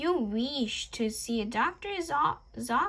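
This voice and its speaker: The speaker uses a put-on character voice at a fairly slow pace. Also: woman. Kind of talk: comic vampire impression. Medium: read story. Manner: formal, old-world courtly.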